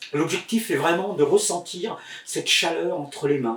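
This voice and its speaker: Noticeable background noise surrounds a man speaking at a moderate pace. His pitch is high, with ordinary variation. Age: 60s. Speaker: healer and magnetizer teaching online. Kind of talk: tutorial. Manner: hesitant, many filler words.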